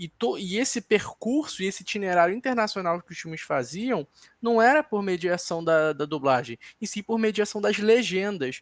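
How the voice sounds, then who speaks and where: A man with a Carioca accent at a high pitch, lively in intonation and swinging widely in loudness, in a very clean, dry, close recording with no echo and a silent background. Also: moderate pace. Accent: carioca, pronounced chiado s. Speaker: film critic on a debate panel. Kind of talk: panel discussion. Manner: analytical, some self-corrections.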